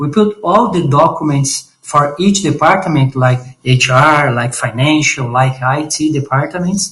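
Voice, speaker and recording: Speaking in a Portuguese accent, a man with a fairly high pitch keeps a fairly slow pace with hardly any pauses. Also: ordinary pitch variation. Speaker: startup founder. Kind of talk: pitch presentation. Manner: halting.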